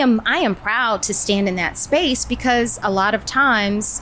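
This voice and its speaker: Noticeable noise is present in the background. A woman talks through it. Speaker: actress, voiceover artist, and host. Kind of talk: interview answer.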